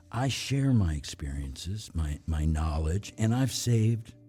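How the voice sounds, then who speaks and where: Over music in the background, a man talks at a fairly slow pace in a very deep, low voice. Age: 70s. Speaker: podcast host, voice over actor. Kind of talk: podcast monologue.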